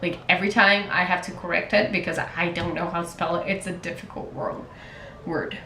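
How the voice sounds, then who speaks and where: A woman in a Portuguese accent, fairly even in intonation, amid audible room echo and noticeable background noise. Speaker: writer and contest mentor. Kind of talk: casual vlog monologue. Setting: talking to camera.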